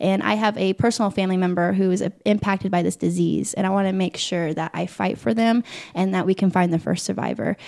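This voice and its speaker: A woman with a Midwestern American accent talks at a very fast pace with hardly any pauses, her medium-pitched voice keeping a fairly even intonation. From Indiana, Muncie. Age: 20s. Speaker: pageant titleholder. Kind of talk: interview.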